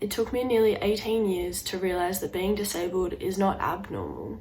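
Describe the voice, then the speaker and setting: The speaker uses a normal speaking voice. The intonation is fairly even. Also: woman. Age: young. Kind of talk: personal story told to camera.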